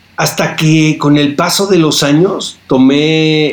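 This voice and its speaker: This man speaks over noticeable background noise. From Tijuana, northern Mexico border. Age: 50s. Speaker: film critic and TV interviewer. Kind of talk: casual interview chat.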